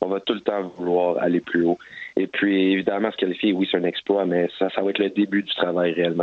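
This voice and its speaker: A man with a Quebec accent, very deep and low in pitch, flat and monotone, at a fairly quick pace. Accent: Québécois French. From Montreal, Quebec. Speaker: professional soccer goalkeeper. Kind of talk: interview. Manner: halting, many fillers.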